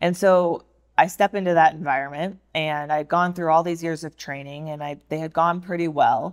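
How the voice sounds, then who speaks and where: At a moderate pace, a woman speaks in a fairly low voice with fairly even intonation. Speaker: former fighter pilot. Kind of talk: interview. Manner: soft-spoken.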